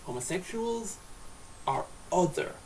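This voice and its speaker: Over noticeable background noise, a man's high voice swings very widely in pitch. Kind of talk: casual talk to camera. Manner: slurred.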